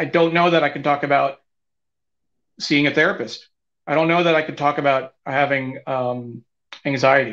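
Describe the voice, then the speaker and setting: Against a quiet background, a man with an American accent talks at a moderate pace, his pitch fairly high and his intonation fairly even. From New York. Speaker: talk show guest host and producer; talk show guest host. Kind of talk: live-streamed interview show. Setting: live video stream. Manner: halting, many filler words. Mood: candid, reflective. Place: home room. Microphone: video call.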